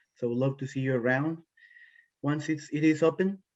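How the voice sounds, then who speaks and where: The voice belongs to a man. He speaks with a Costa Rican accent. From Costa Rica, La Fortuna. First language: Spanish. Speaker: environmental policy professional. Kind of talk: panel introduction.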